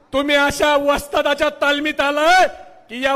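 Raising and projecting his voice, a man speaks at an extremely high pitch with fairly even intonation. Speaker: political party speaker at a rally. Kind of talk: political rally speech. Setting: stage with audience. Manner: loud, fiery oratory.

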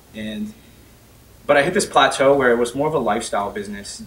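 Over light background noise, a man with an American accent speaks fairly quickly with ordinary pitch variation. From Northern Virginia, US, partly Bahamas. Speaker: tech company CEO; speaker. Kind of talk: personal story talk. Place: meeting room.

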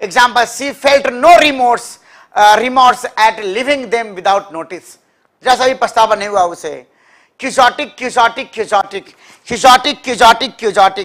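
Extremely high in pitch, this man's voice shows ordinary pitch variation. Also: moderate pace. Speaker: English teacher for competitive exams. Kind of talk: live online class. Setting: live stream. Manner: repetitive drilling of words.

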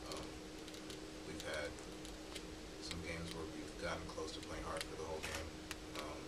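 Loud background noise fills the recording. Over it, a man speaks at a fairly quick pace. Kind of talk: interview answer. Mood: subdued after a loss. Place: meeting room. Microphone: podium.

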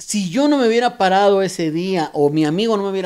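A man speaks with lively intonation. The background is quiet. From Mexico, Oaxaca roots; Mexico. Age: middle-aged. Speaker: graffiti artist and airbrush painter; podcast guest. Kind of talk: casual interview. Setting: artist's studio. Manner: halting, many repetitions. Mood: reflective, warm storytelling. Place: garage. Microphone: handheld.

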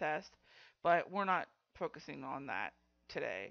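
A woman speaks at a low pitch with a fairly bright tone.

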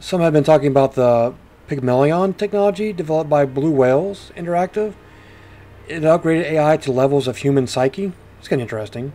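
At a fairly quick pace, a man with a fairly high pitch speaks with ordinary pitch variation and big swings in loudness. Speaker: video game streamer and reviewer; video game streamer, reviewer. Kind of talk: game review and gameplay commentary, casual; noir detective narration of in-game text, read aloud. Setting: home recording with gameplay audio. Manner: animated, jokey, upbeat.

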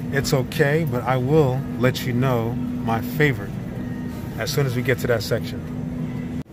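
A man at a fairly slow pace, with music in the background. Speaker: grocery vlogger. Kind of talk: casual vlog chat. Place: shop. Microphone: phone near.

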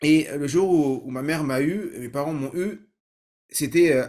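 A man talks at a very slow pace. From Paris suburbs, Saint-Ouen (Seine-Saint-Denis). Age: 30s. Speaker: learning-techniques trainer and podcaster. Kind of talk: personal story monologue. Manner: many hesitations and repetitions.

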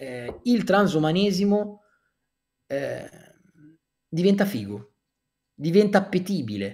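A high-pitched man at a very slow pace, with long, frequent pauses and lively intonation, against a quiet background. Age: 30s. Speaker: author; guest. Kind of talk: interview. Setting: livestream. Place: home room. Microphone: earbuds.

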